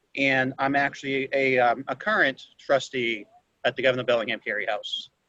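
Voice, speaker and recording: A man with a Boston accent speaks at medium pitch with a bright, sharp tone and fairly even intonation, in a dry, close recording with no echo. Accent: Boston-area American. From Chelsea, Massachusetts. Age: 30s. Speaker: former city councilor. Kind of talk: self-introduction.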